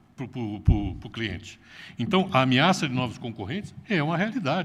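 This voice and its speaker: Vocal fry and very wide pitch swings at a fairly quick pace, with audible room echo. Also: man. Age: 60s. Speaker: retired business executive. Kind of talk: conference talk.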